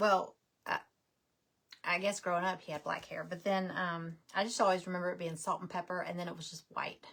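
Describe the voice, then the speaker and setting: A woman with a slight Southern US accent speaks at a fairly quick pace and medium pitch, her intonation monotone and flat while her loudness swings widely. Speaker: craft livestream host. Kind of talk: casual livestream craft tutorial. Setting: live video stream. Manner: chatty, informal.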